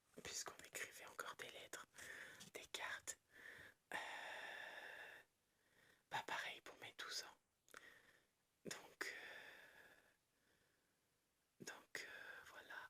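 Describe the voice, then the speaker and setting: A woman whispers at a very slow pace. She leaves long pauses, and they come often. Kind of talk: ASMR whispered reading and show-and-tell of a collection. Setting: quiet room, dog barking in background. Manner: whispered, soft-spoken.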